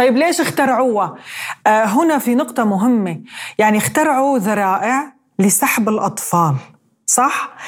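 A woman has an unremarkable speaking voice with fairly high pitch and lively intonation. She speaks at a fairly slow pace and very even loudness. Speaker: podcast host. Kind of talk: interview.

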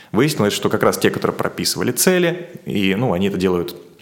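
Noticeable background noise runs behind a man talking at a fairly quick pace. His pitch swings very widely. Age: 30s. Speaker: marketer and producer. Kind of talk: interview conversation.

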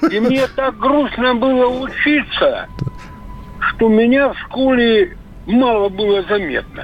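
Amid noticeable background noise, a man with an extremely high pitch speaks at a very slow pace, leaving long, frequent pauses. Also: ordinary pitch variation. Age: 40s. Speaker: caller. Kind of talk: casual chat. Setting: phone call.

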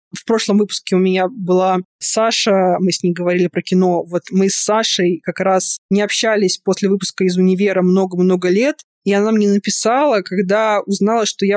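A woman in an ordinary speaking voice, medium pitch and a fairly quick pace. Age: 30s. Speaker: podcast host and fan fiction writer. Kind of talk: casual interview chat.

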